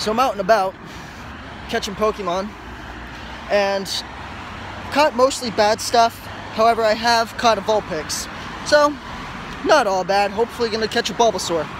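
A man's high-pitched voice, with long, frequent pauses, a dry sound with no echo, and noticeable background noise. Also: ordinary pitch variation, moderate pace. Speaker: vlogger. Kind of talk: casual vlog chat. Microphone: earbuds.

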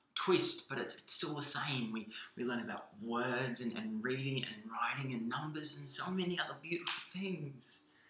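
In an energetic, animated tone, the voice moves at a moderate pace with ordinary pitch variation and audible room echo. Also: man. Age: 20s. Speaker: spoken word poet. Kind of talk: spoken word poem performance, impassioned and rhythmic. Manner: energetic, animated, emphatic; repetitive, halting restarts. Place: home room. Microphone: webcam.

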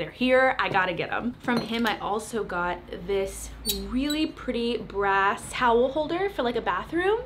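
A woman's fairly high, fairly bright voice at a fairly slow pace, with lively intonation and few pauses

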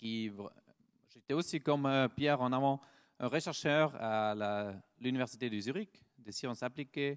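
A man speaks at a fairly slow pace with a Swiss German accent. His pitch varies in an ordinary way over a quiet background. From German-speaking Switzerland. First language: Swiss German (speaking French). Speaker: startup founder and researcher. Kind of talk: conference talk; conference presentation. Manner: halting, with frequent hesitations. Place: hall.

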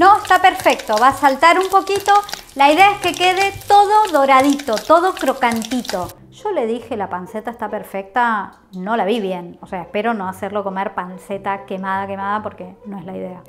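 A woman talks at a moderate pace with big swings in loudness over light background noise. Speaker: cooking instructor on a call. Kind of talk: tutorial. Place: kitchen.

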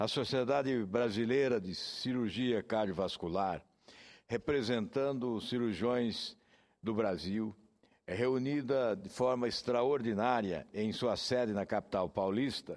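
A man's fairly slow speech, with ordinary pitch variation, plays over a quiet background. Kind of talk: formal parliamentary speech. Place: hall. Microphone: podium.

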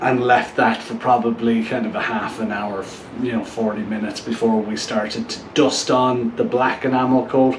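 Light background noise and audible room echo are present as a man speaks. His pace is moderate and his intonation fairly even. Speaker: motorcycle build host. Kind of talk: casual vlog chat. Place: garage.

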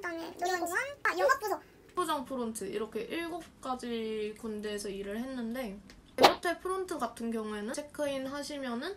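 A woman speaks in a high pitch with very wide pitch swings and big swings in loudness. Noticeable background noise runs behind her. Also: moderate pace. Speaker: university student vlogger and former hotel intern; university student vlogger. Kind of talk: casual chat. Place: home room.

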